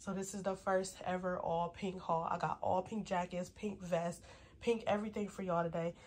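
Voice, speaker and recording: A woman's somewhat breathy voice at a medium pitch and a moderate pace. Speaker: fashion YouTuber. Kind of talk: try-on haul video. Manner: animated.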